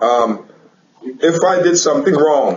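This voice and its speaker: Audible room echo surrounds a man speaking in a fairly high pitch with ordinary pitch variation. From Guyana. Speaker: teacher. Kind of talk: casual interview.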